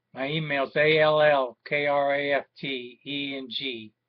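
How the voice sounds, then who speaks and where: Against a quiet background, a man talks with a fairly high pitch. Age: 50s. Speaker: war veteran and aggrieved father. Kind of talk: personal video appeal. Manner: halting, with many fillers. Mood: aggrieved, earnest. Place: home room. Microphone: webcam.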